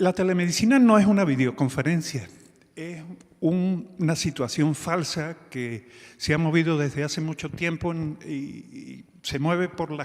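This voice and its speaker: A man's voice with ordinary pitch variation. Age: 60s. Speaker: physician and telemedicine organization leader. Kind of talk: conference talk. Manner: halting, with fillers.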